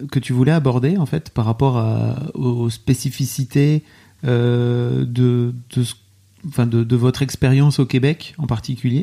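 Dark and mellow in tone, a man speaks at a very slow pace with ordinary pitch variation. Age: 40s. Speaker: podcast host. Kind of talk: remote interview. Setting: remote call.

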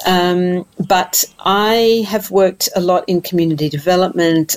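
Speaking at a moderate pace in an Australian accent, a woman uses a fairly low pitch with ordinary pitch variation. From Tasmania, Australia. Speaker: mental health policy director. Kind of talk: interview.

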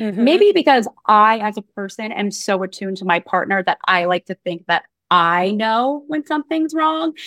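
The woman has an unremarkable speaking voice at a medium pitch. Her recording is very clean, with a silent background. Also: dry, close sound with no echo. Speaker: co-host. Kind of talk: casual conversation.

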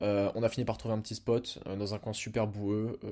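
On a very clean recording with a silent background, a man speaks at a fairly low pitch in a dark, mellow tone with monotone, flat intonation. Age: 20s. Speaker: fitness podcaster. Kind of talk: personal monologue. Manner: hesitant, many fillers.

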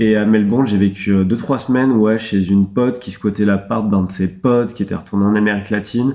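With an unremarkable speaking voice, a man talks at a fairly quick pace and fairly low pitch, with hardly any pauses. His intonation stays fairly even. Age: 20s. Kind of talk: casual chat.

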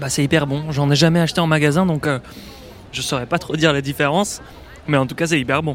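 Over noticeable background noise, a man with a fairly high pitch and fairly even intonation talks at a very fast pace, broken by long, frequent pauses. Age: 20s. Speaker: podcast host and journalist. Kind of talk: on-location travel narration. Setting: outdoors in city streets.

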